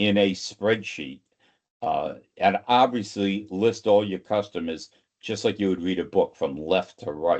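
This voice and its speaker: Speaking with a Boston accent, a man takes a fairly slow pace. The background is quiet. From greater Boston area. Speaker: sales consultant and trainer. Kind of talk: webinar presentation. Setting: online webinar.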